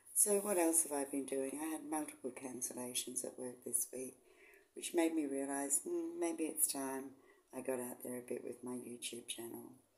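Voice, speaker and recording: A woman with an Australian accent, a very deep, low pitch, a dark, mellow tone, ordinary pitch variation and a moderate pace. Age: 60s. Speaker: vlogger, semi-retired nurse. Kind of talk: casual vlog talk. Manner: casual, hesitant with ums.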